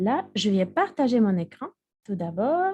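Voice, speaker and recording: A woman speaks very slowly in a fairly high, somewhat breathy voice with a dark, mellow tone. Her pitch swings very widely. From Russia. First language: Russian (speaking French). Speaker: university Russian teacher and quiz presenter. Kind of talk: online lecture. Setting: online video lecture.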